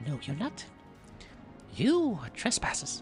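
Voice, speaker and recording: Against clear music in the background, a man does a squeaky put-on character voice at a high pitch, fairly slow, with very wide pitch swings. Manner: accusing.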